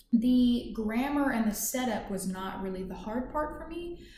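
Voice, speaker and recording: With an American accent, a woman speaks in a room with audible echo. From US South, Kentucky. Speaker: English teacher. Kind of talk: self-introduction. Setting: office. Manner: halting, many fillers.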